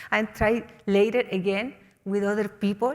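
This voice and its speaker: With a Chilean accent, a woman talks at a fairly high pitch. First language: Spanish. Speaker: mountaineer. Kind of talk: motivational talk. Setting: stage with audience. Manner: halting.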